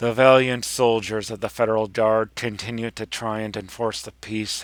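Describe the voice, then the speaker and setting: A put-on character voice from a man, medium in pitch, monotone and flat, at a moderate pace. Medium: read story. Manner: grand, solemn, storytelling.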